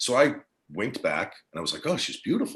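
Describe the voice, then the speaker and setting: A man talks with an American accent. His pace is very fast. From New Jersey. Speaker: actor. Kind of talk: casual interview.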